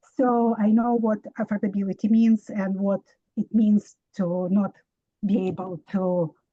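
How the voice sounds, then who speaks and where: A woman speaks at a very slow pace and a fairly high pitch, with a dark, mellow tone. Her voice is somewhat breathy, with a dry, close sound and no echo. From immigrant to the US. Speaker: resident asking a question. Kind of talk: public Q&A question. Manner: halting.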